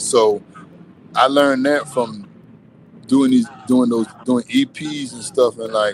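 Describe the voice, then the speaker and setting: Over noticeable background noise, a man with an American accent speaks at a very slow pace, with long, frequent pauses and big swings in loudness. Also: medium pitch for a man. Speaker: Southern soul singer. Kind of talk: interview. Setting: studio. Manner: animated.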